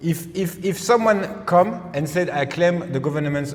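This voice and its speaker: A man speaks with a French accent and lively intonation. There is noticeable background noise behind him. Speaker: political researcher. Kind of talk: political discussion. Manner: halting.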